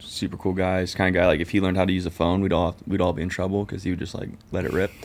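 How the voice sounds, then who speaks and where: A man with a Californian accent talks at a very fast pace in a very deep, low pitch with monotone, flat intonation. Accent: Californian American. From Southern California (Orange County). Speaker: podcast co-host and business founder, military veteran. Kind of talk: casual chat interview. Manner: casual, filler-heavy.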